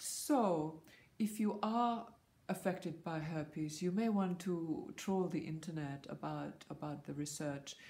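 A woman speaks fairly slowly in a somewhat breathy, fairly low voice with a dark, mellow tone and ordinary pitch variation. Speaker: vlogger. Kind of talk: vlog monologue. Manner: halting. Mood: earnest, informative. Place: home room. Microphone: phone near.

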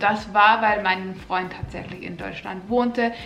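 A woman speaks with fairly even intonation. Light background noise can be heard. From Finland. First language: Finnish (speaking German). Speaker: vlogger. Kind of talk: casual vlog tips; casual vlog chat. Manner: slightly halting. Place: home room.

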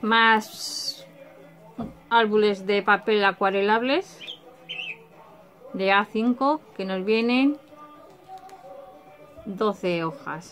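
Over faint background music, a fairly bright voice moves at a very slow pace with long, frequent pauses. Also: woman, medium pitch for a woman, ordinary pitch variation.

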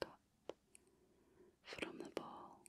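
A woman is speaking. She whispers. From Scotland. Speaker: ASMR creator. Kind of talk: ASMR sleep video. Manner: whispered, slow. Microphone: studio mic.

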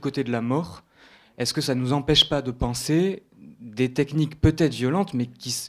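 An unremarkable speaking voice, a man at medium pitch talks at a fairly quick pace with ordinary pitch variation on a very clean recording with a silent background. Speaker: audience member. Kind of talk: audience question. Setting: stage with audience.

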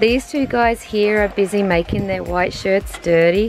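The sound is dry with no echo, and faint music plays in the background. A woman speaks at a moderate pace with ordinary pitch variation. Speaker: mother vlogger. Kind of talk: casual vlog chat. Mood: warm, cheerful. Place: garden. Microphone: phone near.

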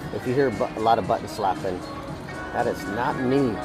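There is clear music in the background as a man speaks at a moderate pace. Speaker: casino live streamer. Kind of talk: casual live stream chat. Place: hall. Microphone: phone near.

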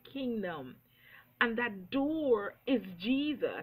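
Her voice is high-pitched, and this woman speaks at a very slow pace. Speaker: preacher. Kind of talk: sermon. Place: church. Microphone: webcam.

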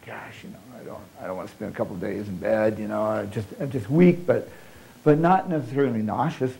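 Lively in intonation, a man's voice carries a dark, mellow tone with vocal fry. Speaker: heart attack survivor. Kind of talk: personal testimony. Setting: stage with audience. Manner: humorous, self-deprecating. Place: hall.

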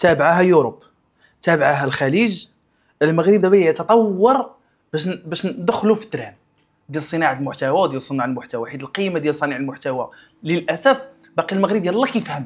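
At a fairly quick pace, a man speaks. The background is quiet. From Morocco. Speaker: content creator; podcast guest, content creator. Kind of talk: podcast interview; interview answer. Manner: halting, many restarts. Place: studio.

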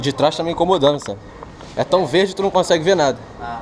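A man's speech races along at a very fast pace, showing ordinary pitch variation against noticeable background noise. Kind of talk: casual vlog chat. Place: garage. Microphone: phone near.

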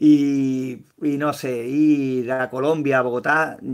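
A man with a fairly high pitch is heard on a very clean recording with a silent background. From Andalusia, Spain (Sevilla). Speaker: YouTuber, homemade incubator builder. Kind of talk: live stream with viewer chat. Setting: at home. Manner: hesitant, frequent fillers.

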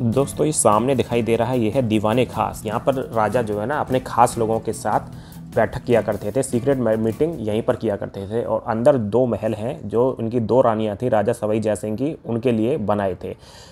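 Faint music plays in the background as a man speaks at a fairly slow pace with fairly even intonation. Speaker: travel vlogger acting as guide. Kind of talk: tour guide commentary. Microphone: phone near.

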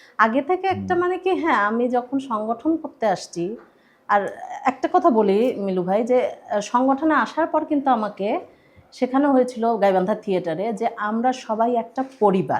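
Her high-pitched voice swings very widely in pitch as this woman speaks. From Bangladesh, Gaibandha. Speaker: theatre actor. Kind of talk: radio interview, casual chat. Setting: radio studio.

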